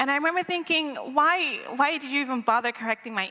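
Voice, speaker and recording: American-accented speech from a woman, her pitch varying in an ordinary way. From Nigeria, Lagos. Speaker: storyteller. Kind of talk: live storytelling. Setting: stage with audience.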